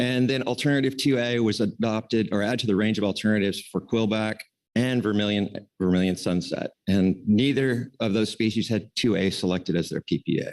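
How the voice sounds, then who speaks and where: A man at a fairly low pitch and a fairly quick pace, with very even loudness and hardly any pauses. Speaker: council staff presenter. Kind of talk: formal presentation at public meeting. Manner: fast.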